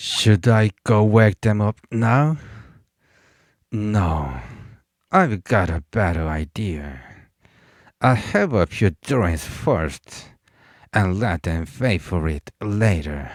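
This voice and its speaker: In a put-on character voice, someone rumbles out words at a very slow pace with long, frequent pauses, the sound dry and close with no echo and the recording very clean over a silent background. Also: man, fairly low pitch for a man. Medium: read story. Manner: grumbling, coarse.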